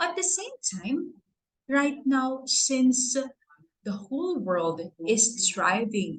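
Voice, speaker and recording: A woman with a Filipino accent, very slow in pace, with very wide pitch swings. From Philippines. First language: Tagalog. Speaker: award recipient. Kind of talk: speech.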